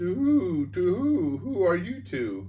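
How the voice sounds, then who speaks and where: A soft-spoken, put-on character voice at middle pitch moves at a fairly slow pace over clear background noise. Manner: curious.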